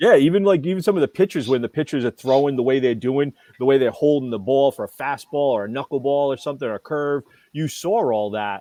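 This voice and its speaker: Speaking very fast, the man uses lively intonation. His voice sits fairly high. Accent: New England. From New England, US. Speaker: toy show co-host. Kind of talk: casual chat. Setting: live stream. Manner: animated.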